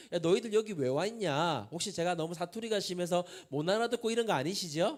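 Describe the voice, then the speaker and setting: Talking at a very fast pace, a man with a strong Busan accent uses a high pitch and lively intonation. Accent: strong Busan (Gyeongsang) dialect. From Busan, South Korea. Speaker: pastor, youth prayer movement leader. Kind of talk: sermon. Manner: conversational, engages audience with questions.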